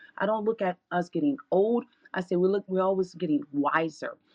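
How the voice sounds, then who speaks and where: The voice belongs to a woman. It sits at a medium pitch. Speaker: audience participant. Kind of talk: casual chat. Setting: live online audio room.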